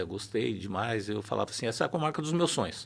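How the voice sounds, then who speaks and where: A man speaks with vocal fry and lively intonation. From São Paulo city, Brazil. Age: 60s. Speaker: judge. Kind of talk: interview.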